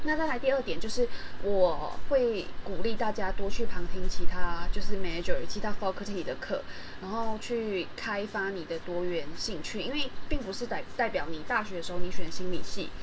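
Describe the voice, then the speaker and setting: A woman speaks at a medium pitch with lively intonation and big swings in loudness. Noticeable background noise runs beneath her voice. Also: moderate pace. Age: 20s. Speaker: podcast host. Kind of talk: solo podcast monologue. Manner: halting, many fillers.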